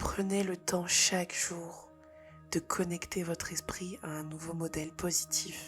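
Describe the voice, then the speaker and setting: A woman's fairly low, flat, monotone voice at a very slow pace, over music in the background. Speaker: spirituality and personal development content creator. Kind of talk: guided meditation-style spiritual talk to camera. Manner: soft-spoken, whispered, calm.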